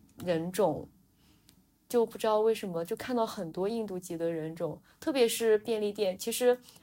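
A woman speaks in a fairly high pitch with a dark, mellow tone. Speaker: podcast co-host. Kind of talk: casual chat.

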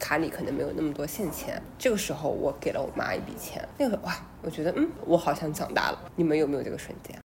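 A woman talks at a very fast pace. Noticeable background noise runs under her voice. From small city in China. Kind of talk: casual chat.

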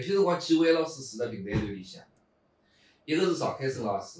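His voice is somewhat breathy. A man's pitch rises and falls across a very wide range. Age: 50s. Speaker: pingtan storytelling performer. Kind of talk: casual interview chat.

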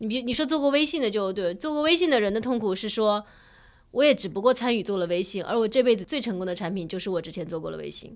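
On a very clean recording with a silent background, a woman races along at a very fast pace in a fairly high voice with lively intonation. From China, small city. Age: middle-aged. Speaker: podcast co-host. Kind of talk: casual chat.

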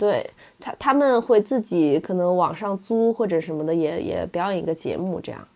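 A woman with a normal speaking voice talks at a moderate pace and medium pitch, her intonation lively. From China, Wenzhou. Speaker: former esports event host. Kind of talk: casual chat.

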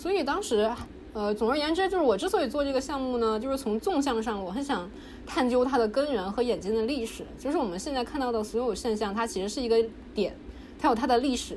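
Talking at a very fast pace, a woman with a high pitch and lively intonation is heard over noticeable background noise and audible room echo. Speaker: PhD student in religious studies. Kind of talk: casual interview.

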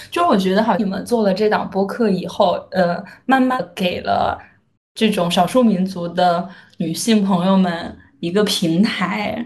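A woman speaks in a somewhat breathy voice with fairly even intonation, and audible room echo surrounds her. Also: medium pitch for a woman, fairly slow pace. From Shaanxi, northwest China. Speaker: podcaster. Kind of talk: casual chat.

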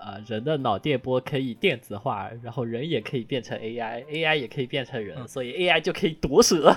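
A man speaks with a strong southern Chinese accent at a medium pitch and ordinary pitch variation. His moderate pace has hardly any pauses, and his loudness swings a lot. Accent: strong southern Chinese accent in Mandarin. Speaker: podcast co-host. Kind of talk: casual chat. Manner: hesitant, many fillers.

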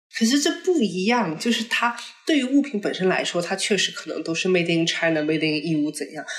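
There is noticeable background noise as a woman talks at a medium pitch with very wide pitch swings. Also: fairly quick pace. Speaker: podcast co-host. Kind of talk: casual chat.

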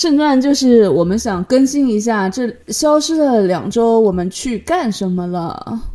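A woman speaks fairly slowly in a fairly high, dark, mellow voice. Her intonation is lively and she hardly pauses. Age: middle-aged. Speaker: podcast co-host. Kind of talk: casual chat.

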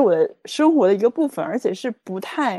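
Over a quiet background, a woman with a dark, mellow tone speaks at a moderate pace using lively intonation. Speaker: life coach. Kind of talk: interview conversation.

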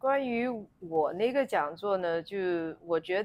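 The recording is very clean with a silent background. On it, a woman talks at a very slow pace. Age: 50s. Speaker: gynecologist. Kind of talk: interview conversation.

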